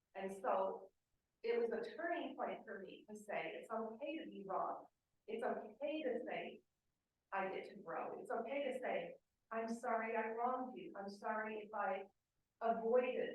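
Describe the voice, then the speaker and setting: This woman has a normal speaking voice with a fairly high pitch and ordinary pitch variation. She talks at a fairly slow pace, and her loudness swings widely. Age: 50s. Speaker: family member giving memorial tribute. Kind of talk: eulogy tribute.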